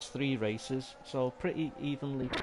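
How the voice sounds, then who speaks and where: Over noticeable background noise, a man with a Liverpool accent speaks at a fairly slow pace. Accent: Scouse. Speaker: esports race commentator. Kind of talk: live commentary. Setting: live stream.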